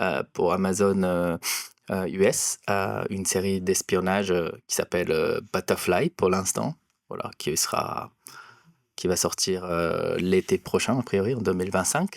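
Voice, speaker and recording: A man talks at a very slow pace with a Japanese accent. The recording is very clean and dry, close with no echo and a silent background. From Japan, near Osaka. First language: Japanese (speaking French). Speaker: cinematographer. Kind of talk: interview. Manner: halting, many hesitations.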